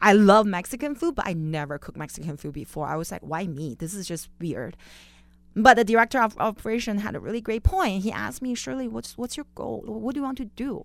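A woman with a Chinese accent speaks at a very fast pace and medium pitch, with very wide pitch swings and big swings in loudness. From Beijing, China. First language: Mandarin Chinese. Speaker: chef. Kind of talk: interview. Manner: laughs often.

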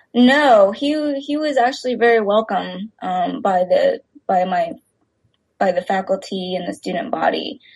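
A woman's fairly high, somewhat breathy voice with an American accent, lively intonation and a fairly slow pace. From Texas. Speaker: filmmaker. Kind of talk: interview. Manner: hesitant, many fillers.

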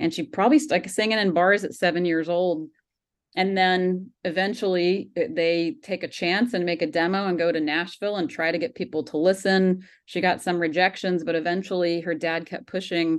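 Speaking in an American accent, a woman with an ordinary speaking voice talks at a moderate pace and a fairly low pitch, with ordinary pitch variation. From US South, Georgia. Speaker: documentary filmmaker. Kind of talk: interview.

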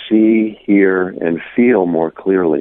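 Pitch varies in an ordinary way as a man talks very slowly. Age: 60s. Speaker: poet and spiritual teacher. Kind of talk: radio interview. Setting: phone call.

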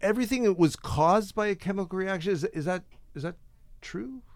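A high-pitched man's voice broken by long, frequent pauses. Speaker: radio host. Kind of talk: interview. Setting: studio. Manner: animated.

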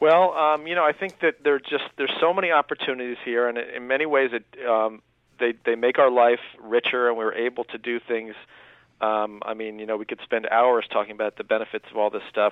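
This is an ordinary speaking voice from a man at medium pitch. He talks at a fairly quick pace with ordinary pitch variation. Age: 30s. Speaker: author. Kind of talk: radio interview.

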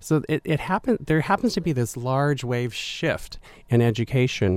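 An ordinary speaking voice from a man, with ordinary pitch variation and a moderate pace. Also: dry, close sound with no echo. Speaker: university administrator. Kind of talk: radio interview. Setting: studio.

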